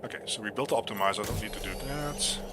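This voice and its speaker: A man speaks at a fairly low pitch. Noticeable background noise and audible room echo surround him. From Netherlands. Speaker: gaming streamer. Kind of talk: live gameplay commentary. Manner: loud.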